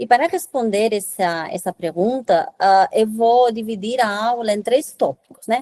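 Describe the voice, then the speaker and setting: Fairly slow and fairly high-pitched, a woman talks in a dark, mellow tone. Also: lively intonation, dry, close sound with no echo. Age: 30s. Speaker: reproductive science lecturer. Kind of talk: lecture. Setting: webinar.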